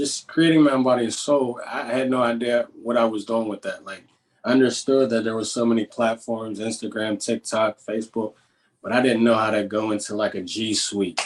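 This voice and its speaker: Here a man talks with a Pittsburgh accent. His intonation stays fairly even. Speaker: positivity coach. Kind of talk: interview. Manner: casual, with many filler words.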